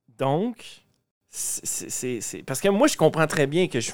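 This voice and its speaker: The delivery is very slow. The intonation is lively. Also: man. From Lac-Saint-Jean, Quebec. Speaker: podcast host. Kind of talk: interview. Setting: backstage at music event.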